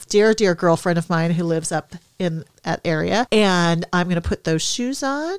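Recorded very cleanly with a silent background and a dry, close sound with no echo, a woman with an American accent uses an ordinary speaking voice at a medium pitch and a moderate pace. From Minnesota. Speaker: podcast host, hockey mom. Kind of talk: casual chat.

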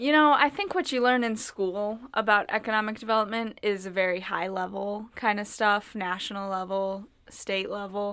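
With an American accent, a woman uses an ordinary speaking voice at a medium pitch, a moderate pace and ordinary pitch variation. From Minnesota (Northfield). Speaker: intern and college student. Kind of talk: casual chat.

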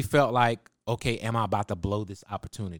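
In an ordinary speaking voice, a man with an American accent speaks at medium pitch and a moderate pace, the sound dry and close with no echo on a very clean recording with a silent background. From Texas, Waco. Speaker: music producer. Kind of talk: casual interview. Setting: studio.

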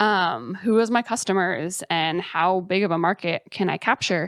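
On a very clean recording with a silent background, a woman with an unremarkable speaking voice talks at a medium pitch with ordinary pitch variation, the sound dry and close with no echo. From Colorado (mountains west of Denver). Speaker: startup program manager. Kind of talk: casual interview.

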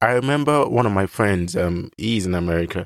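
A man's voice comes through dry and close with no echo in a very clean recording with a silent background. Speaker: podcast host. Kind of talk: solo monologue.

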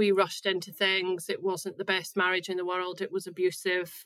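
A woman speaks at a medium pitch with a bright, sharp tone. Her intonation is monotone and flat. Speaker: mental health blogger. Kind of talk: interview. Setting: remote call. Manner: at ease.

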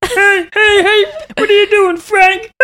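In a put-on character voice, the speaker holds an extremely high pitch with monotone, flat intonation.

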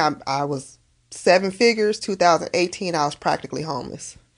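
Speaking with an American accent, a woman has an unremarkable speaking voice at medium pitch with ordinary pitch variation. She talks at a moderate pace against a quiet background. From Las Vegas, Nevada. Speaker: cosmetology school owner and author. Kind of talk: casual interview.

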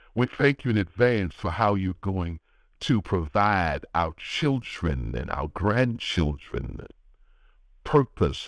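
A dry, close sound with no echo, marked by vocal fry and very wide pitch swings. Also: man. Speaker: pastor. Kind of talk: sermon and prayer; fervent intercessory prayer. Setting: phone prayer call line. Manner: earnest, rhythmic, pleading prayer cadence with repeated phrases; warm, encouraging, pastoral.

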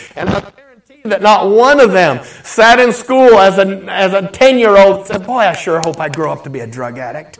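A man speaks high and animated at a moderate pace, with very wide pitch swings, big swings in loudness and hardly any pauses. Noticeable background noise sits behind him. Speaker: pastor. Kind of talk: sermon.

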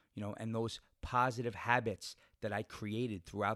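The recording is very clean, with a silent background and a dry, close sound with no echo. A man with an ordinary speaking voice talks at a medium pitch and a moderate pace. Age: 40s. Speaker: podcast host and bodybuilder. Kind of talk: motivational monologue. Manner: casual with many fillers.

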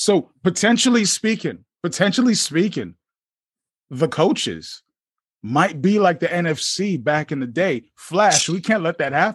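An unremarkable speaking voice moves at a fairly slow pace. The intonation is lively. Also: man. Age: 40s. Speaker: podcast host. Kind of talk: casual interview. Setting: video call.

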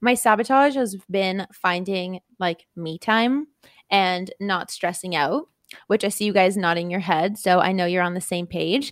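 A woman speaks in an ordinary speaking voice at a fairly slow pace, with medium pitch and ordinary pitch variation. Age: 20s. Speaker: podcast co-host. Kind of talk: casual chat. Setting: studio.

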